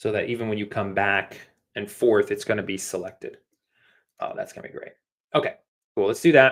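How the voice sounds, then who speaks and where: A man talks at a fairly quick pace, with long, frequent pauses and big swings in loudness. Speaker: app design instructor. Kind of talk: live coding tutorial. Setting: livestream.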